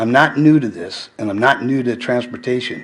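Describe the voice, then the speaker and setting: A man talks at a medium pitch and a fairly slow pace. There is noticeable background noise. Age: 70s. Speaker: school bus driver speaking at public comment. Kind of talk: public comment at a school board meeting. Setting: school board meeting.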